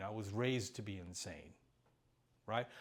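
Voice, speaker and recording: This man's pitch rises and falls in an ordinary way. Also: very clean recording, silent background. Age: 60s. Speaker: recovery speaker. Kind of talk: testimony.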